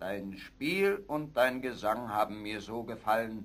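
Using a put-on character voice, a man speaks at a fairly low pitch with big pitch swings, a fairly bright tone and a fairly slow pace.

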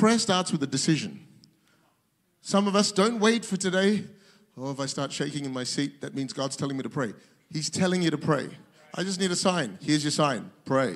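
With lively intonation and an animated tone, a man talks at a fairly quick pace, leaving long, frequent pauses. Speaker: pastor. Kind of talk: sermon. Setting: church with audience, streamed to multiple locations. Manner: animated, fervent preacher in full flow, building to a rousing call to worship. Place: church. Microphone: handheld.

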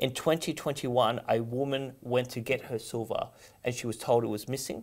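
This man talks at a medium pitch in an Australian accent. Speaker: economist. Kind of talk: political interview. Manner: halting.

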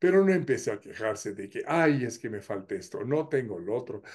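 Over a quiet background, a man with a Mexican accent and a fairly high pitch talks at a moderate pace. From Mexico. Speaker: YouTuber. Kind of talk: humorous monologue. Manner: animated. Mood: humorous, warm. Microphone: webcam.

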